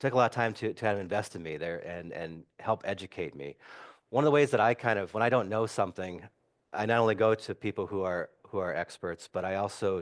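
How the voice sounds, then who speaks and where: With an Upper Midwest accent, a man speaks at a fairly quick pace with ordinary pitch variation against a quiet background. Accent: Upper Midwest American. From Wisconsin, Madison. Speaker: city council member. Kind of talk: community talk. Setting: church hall with audience. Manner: halting, many repetitions and fillers.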